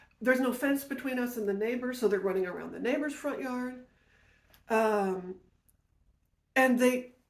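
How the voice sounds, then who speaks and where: In an animated tone, a high-pitched woman speaks at a moderate pace with ordinary pitch variation, big swings in loudness and long, frequent pauses. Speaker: podcast host, storyteller. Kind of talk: personal storytelling.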